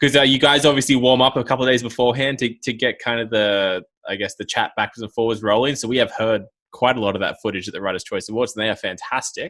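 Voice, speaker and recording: Speaking at a very fast pace in an Australian accent, a man keeps a medium pitch and fairly even intonation. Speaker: podcast co-host, ice cross athlete. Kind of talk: casual chat.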